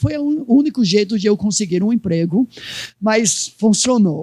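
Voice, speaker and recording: This man has a high-pitched voice with a dark, mellow tone. He speaks with a non-native accent and lively intonation. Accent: foreign accent in Portuguese. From United States. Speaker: pastor. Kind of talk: sermon.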